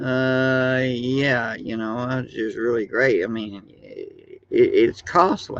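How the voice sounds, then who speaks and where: A man speaks at a very slow pace. His loudness swings widely. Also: hardly any pauses. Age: 60s. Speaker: YouTuber. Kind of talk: casual monologue. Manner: halting, many fillers.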